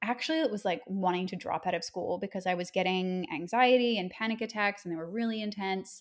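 A woman speaks at medium pitch in a Canadian accent, with ordinary pitch variation and a plain, everyday voice. The recording is very clean, with a silent background. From Nova Scotia, Canada. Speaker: yoga teacher and podcaster. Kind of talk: casual interview conversation.

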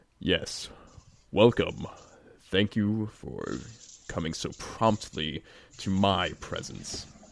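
In a put-on character voice, a man booms at a fairly low pitch and a very slow pace, with lively intonation, big swings in loudness, and long, frequent pauses. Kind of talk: formal, welcoming.

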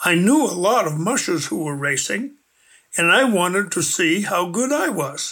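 On a very clean recording with a silent background, a man speaks in a raised, projected voice, high in pitch and fairly slow. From US Northeast, New Hampshire. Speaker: retired sled dog racer. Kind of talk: storytelling.

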